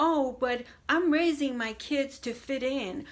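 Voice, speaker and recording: In a Spanish accent, a woman speaks at a high pitch and a fairly slow pace, her raised, projected voice bright and sharp in tone with ordinary pitch variation. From Puerto Rican background. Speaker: video blogger on faith. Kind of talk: casual monologue to camera. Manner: hesitant with many fillers.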